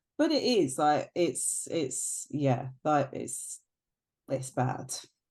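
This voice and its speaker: With a British accent, a woman speaks at a very slow pace. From UK. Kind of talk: casual chat. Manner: hesitant, many fillers.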